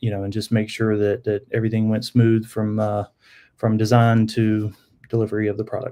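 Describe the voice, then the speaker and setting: Over a quiet background, a man with a North Carolina accent speaks at a moderate pace in a dark, mellow tone with fairly low pitch and monotone, flat intonation. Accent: Southern US (North Carolina). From US South, Charlotte area, North Carolina. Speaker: sign business owner. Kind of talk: casual interview podcast.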